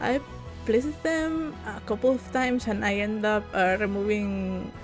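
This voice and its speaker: A woman with a non-native accent talks at a fairly slow pace while music plays in the background. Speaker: game content creator. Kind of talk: casual voiceover commentary. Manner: hesitant, rambling.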